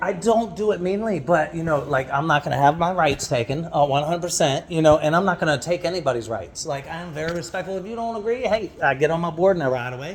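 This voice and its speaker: Loud and animated, a man talks very fast at a high pitch with ordinary pitch variation and hardly any pauses, over noticeable background noise. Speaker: vlogger. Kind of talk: casual chat.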